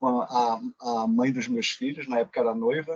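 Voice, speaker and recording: A man with a medium-pitched voice talks at a fairly slow pace with ordinary pitch variation. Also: dry, close sound with no echo. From Pernambuco, Brazil. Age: 40s. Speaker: occupational safety engineer. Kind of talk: interview.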